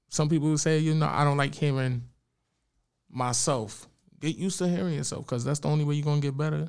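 Speaking at a fairly quick pace, a man with an American accent has an ordinary speaking voice and a fairly high pitch with ordinary variation. The recording is very clean, with a silent background. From Bronx, New York. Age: 30s. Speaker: poet. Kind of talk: casual chat.

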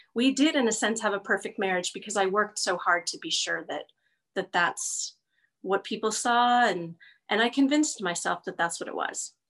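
Against a quiet background, a woman with a normal speaking voice and a fairly high pitch talks at a moderate pace with lively intonation. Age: 50s. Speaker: guest sharing coming-out story. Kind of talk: personal testimony interview.

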